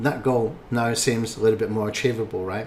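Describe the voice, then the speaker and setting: At a fairly quick pace, a man speaks somewhat breathily at a medium pitch with monotone, flat intonation. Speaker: online marketing instructor. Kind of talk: webinar presentation. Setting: screen-recorded webinar replay.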